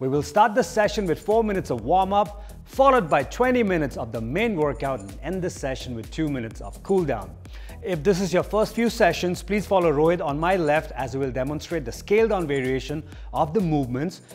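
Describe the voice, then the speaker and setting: A man's fairly quick speech with faint music in the background. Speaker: fitness coach. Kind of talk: workout instruction. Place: gym. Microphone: lapel.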